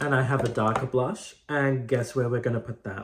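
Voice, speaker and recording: Soft-spoken and somewhat breathy, the voice moves at a fairly slow pace. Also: man. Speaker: drag queen makeup creator. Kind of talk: tutorial. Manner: casual, chatty.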